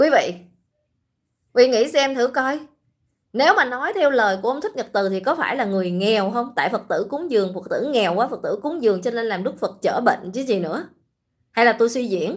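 A woman with a high pitch and lively intonation against a quiet background. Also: fairly quick pace. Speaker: online commentator, livestream host. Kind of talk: livestream commentary. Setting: online livestream. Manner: casual, conversational. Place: home room. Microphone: phone near.

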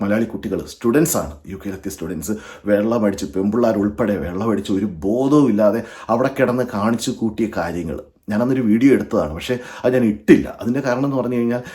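This man has a medium pitch and a dark, mellow tone. His intonation is lively. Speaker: YouTube vlogger. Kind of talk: monologue to camera.

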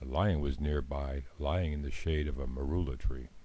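This man has a very deep, low pitch and a dark, mellow tone that is somewhat breathy. He talks at a moderate pace with ordinary pitch variation. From Africa. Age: old. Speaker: storyteller. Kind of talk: children's story narration.

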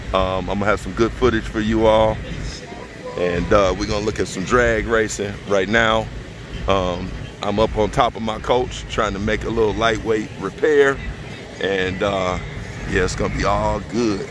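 With noticeable background noise around him, a man talks at a moderate pace in a fairly low voice with fairly even intonation. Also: dry sound with no echo. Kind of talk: casual vlog chat. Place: open country. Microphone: phone near.

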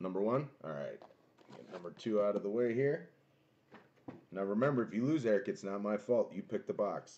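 A man's fairly low voice with lively intonation, a dark, mellow tone and a moderate pace.

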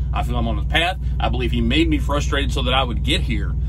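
A man speaks over noticeable background noise. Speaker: truck driver vlogger. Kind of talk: casual vlog chat. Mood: earnest, motivational. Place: car. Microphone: phone near.

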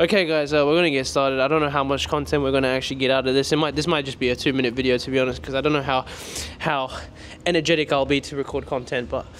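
Over light background noise, someone speaks at a very fast pace with fairly even intonation. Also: man. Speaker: vlogger. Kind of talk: casual vlog chat. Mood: joking, playful. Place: gym. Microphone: handheld.

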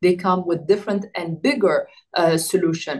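A woman at a moderate pace over a quiet background. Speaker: interviewee. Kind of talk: interview answer. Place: home room. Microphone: video call.

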